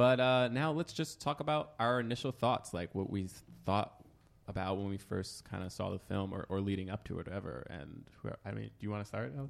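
A man talks at a fairly quick pace in a plain, everyday voice, his pitch fairly low and his intonation lively. The recording is very clean, with a silent background. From New York area. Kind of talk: casual chat.

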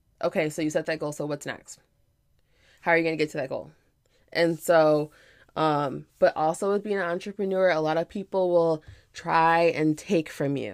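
With long, frequent pauses, a woman speaks at a moderate pace in a fairly low pitch and an animated tone. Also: very clean recording, silent background. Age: 30s. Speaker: podcast host and fashion entrepreneur. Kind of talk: casual solo podcast monologue.

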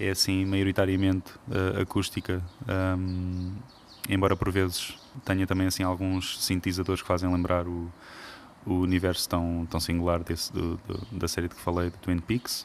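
The speech moves at a moderate pace in a flat, monotone intonation. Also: man, very deep, low pitch for a man. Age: 30s. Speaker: composer. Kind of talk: interview.

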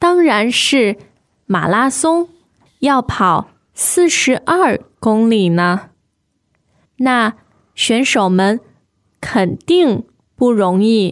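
A woman with a Mandarin accent speaks very slowly, her fairly high voice swinging very widely in pitch at a very even loudness. Long, frequent pauses break up her speech on a very clean recording with a silent background. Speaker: Mandarin teacher, podcast co-host. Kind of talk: reading aloud dialogue lines. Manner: slow, clear.

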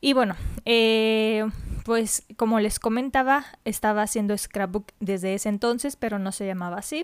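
A woman's fairly high voice with ordinary pitch variation on a very clean recording with a silent background. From Mexico. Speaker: podcast host. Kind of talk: podcast monologue. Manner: casual, hesitant fillers.

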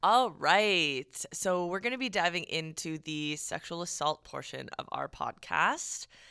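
A woman speaks at a fairly slow pace and fairly low pitch in a bright, sharp tone. The recording is very clean, with a silent background. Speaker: podcast co-host, service industry worker. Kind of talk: casual chat podcast. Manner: not soft-spoken, outgoing.

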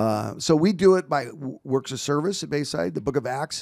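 A man's fairly high voice with vocal fry, lively intonation and a moderate pace. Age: 50s. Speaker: pastor. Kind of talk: casual chat. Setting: studio.

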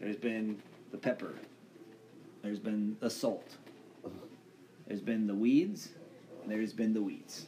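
A man's dark, mellow, medium-pitched voice with ordinary pitch variation and long, frequent pauses. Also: moderate pace. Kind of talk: casual chat. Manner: halting, stumbling over words.

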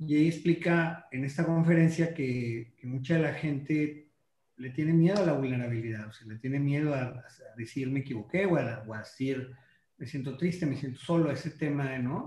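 A man speaks with a fairly high pitch and a dark, mellow tone that is somewhat breathy. His loudness swings widely. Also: ordinary pitch variation, moderate pace. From Mexico, La Laguna region (Coahuila/Durango). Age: 40s. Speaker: marketing consultant. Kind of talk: casual interview chat. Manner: halting, with fillers and repetitions.

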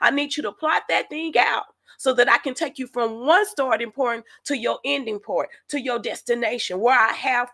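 A woman's high, raised and projected voice with a bright, sharp, animated tone, lively intonation, big swings in loudness and a moderate pace. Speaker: faith podcast host. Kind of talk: sermon-style teaching.

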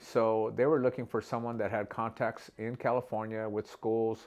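A man speaks at a fairly quick pace in a medium pitch, against a quiet background. It is an ordinary speaking voice. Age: 60s. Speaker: beauty and barber supply business owner. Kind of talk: casual interview.

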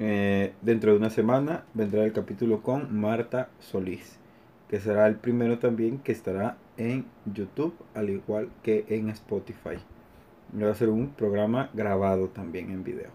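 A man's fairly low-pitched voice, fairly slow in pace and fairly even in intonation. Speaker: podcast host. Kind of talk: casual chat. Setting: informal gathering with music, party. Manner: halting, many fillers.

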